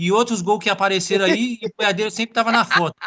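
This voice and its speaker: This man's voice sits high in pitch, and he talks at a fairly quick pace. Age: 30s. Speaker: professional footballer. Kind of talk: casual chat.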